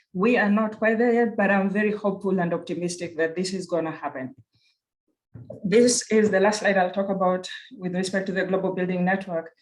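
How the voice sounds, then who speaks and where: A woman with a Kenyan accent talks at a fairly quick pace in a medium pitch with fairly even intonation. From Kenya (Nairobi). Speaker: university research director. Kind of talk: conference presentation. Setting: virtual conference.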